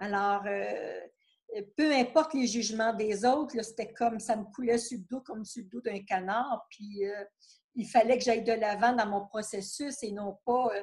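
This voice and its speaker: Somewhat breathy and fairly high in pitch, a woman talks at a fairly slow pace with fairly even intonation. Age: 60s. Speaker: retired therapist. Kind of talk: interview testimony.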